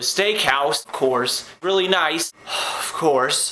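A man is heard with noticeable background noise. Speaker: vlogger. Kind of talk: casual vlog chat.

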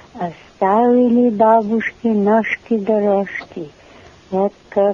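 A woman with an Alaskan accent, medium-pitched and fairly even in intonation, at a very slow pace amid noticeable background noise. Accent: Ninilchik Russian dialect. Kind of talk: poetry reading.

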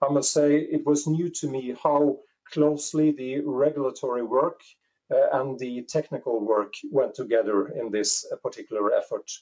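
A man speaks at a moderate pace in a dark, mellow tone, with ordinary pitch variation against a quiet background. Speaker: remote guest. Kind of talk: interview answer. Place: home room. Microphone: earbuds.

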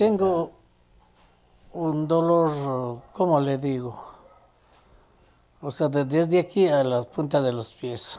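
A man with a fairly high pitch at a very slow pace. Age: 70s. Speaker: tire repairer and welder. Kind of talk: interview answer.

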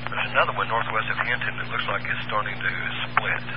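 A man is speaking. The sound is dry with no echo, but the background noise is loud. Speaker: storm spotter radio operator. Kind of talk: radio weather report. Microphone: two way radio.

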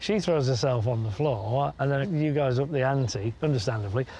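Recorded dry with no echo over light background noise, a man talks at a fairly quick pace with ordinary pitch variation. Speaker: dog trainer. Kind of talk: interview commentary to camera. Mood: amused, playful. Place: garden.

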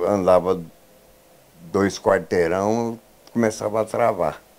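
Man at a very slow pace with fairly even intonation. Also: long, frequent pauses. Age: 70s. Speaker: patient. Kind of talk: news interview testimony. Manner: halting. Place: home room. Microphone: handheld.

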